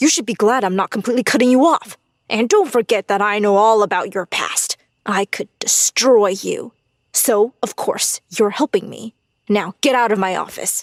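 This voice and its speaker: In a put-on character voice, a woman growls at a moderate pace, her pitch fairly high with ordinary variation, in a dry, close sound with no echo. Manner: menacing.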